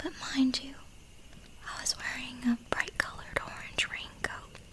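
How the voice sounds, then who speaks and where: At a fairly slow pace, a whisper comes through noticeable background noise. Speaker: ASMR narrator. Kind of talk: narrating a reader's first-person woods encounter story. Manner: soft-spoken mixed with whispering.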